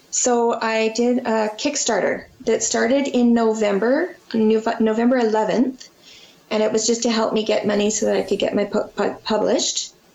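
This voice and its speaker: With noticeable background noise behind her, a woman speaks at a moderate pace in a Canadian accent, her fairly high pitch carried on fairly even intonation. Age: 40s. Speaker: children's book author and illustrator. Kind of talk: interview. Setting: video call.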